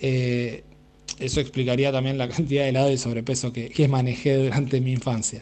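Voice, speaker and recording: A man's medium-pitched, dark and mellow voice, monotone and flat in intonation, at a fairly quick pace. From Argentina, Pehuajó, Buenos Aires province. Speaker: radio listener sending a voice message. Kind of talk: recorded anecdote for a radio show. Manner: halting, with many fillers.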